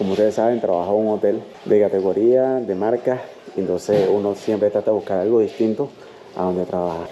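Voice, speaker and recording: A man's fairly low voice, fairly quick and fairly even in intonation, over noticeable background noise. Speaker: travel vlogger. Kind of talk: travel vlog tour. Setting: indoors at a hostel.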